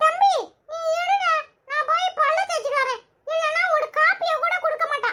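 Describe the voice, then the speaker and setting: This squeaky, cartoonish character voice sits at an extremely high pitch with very wide pitch swings. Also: moderate pace. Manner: cheeky, sarcastic, quick-tongued.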